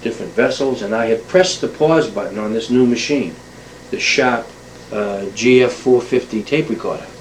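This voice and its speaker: Amid noticeable background noise and audible room echo, a man at a medium pitch speaks with an American accent and ordinary pitch variation. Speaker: oral historian. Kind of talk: spoken monologue introduction to an oral history tape. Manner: fast; hesitant, many fillers.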